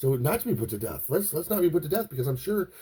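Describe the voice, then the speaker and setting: Very fast and somewhat breathy, a man speaks with a dark, mellow tone and lively intonation. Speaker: podcast host. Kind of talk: philosophical monologue. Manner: halting, repetitive starts.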